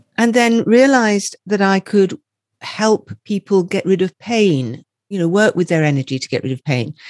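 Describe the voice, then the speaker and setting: A woman at a moderate pace, very wide pitch swings, dry, close sound with no echo, quiet background. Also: medium pitch for a woman. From Scotland. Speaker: energy healer and empowerment coach. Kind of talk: interview.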